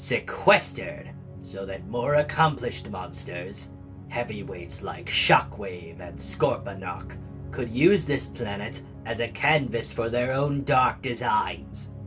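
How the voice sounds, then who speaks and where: Over clear music in the background, a man puts on a character voice at a medium pitch and a fairly slow pace. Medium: dub. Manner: theatrical, scornful speech.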